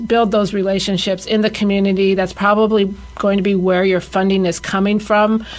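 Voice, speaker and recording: A woman's medium-pitched voice at a fairly quick pace, monotone and flat in intonation, with music in the background. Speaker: grant writer. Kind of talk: radio interview, explanatory.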